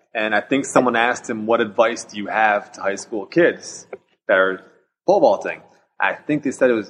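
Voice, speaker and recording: A man with a plain, everyday voice talks at a medium pitch and a moderate pace, with ordinary pitch variation. His loudness shows big swings. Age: 30s. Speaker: pole vaulter. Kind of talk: casual chat.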